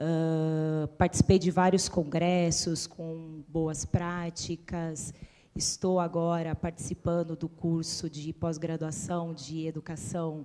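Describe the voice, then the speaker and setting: A woman with a slight São Paulo accent talks at a very slow pace with hardly any pauses, her fairly low voice dark and mellow and her intonation flat and monotone. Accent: slight interior São Paulo. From Itu, São Paulo state interior, Brazil. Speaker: schoolteacher. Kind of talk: self-introduction in panel.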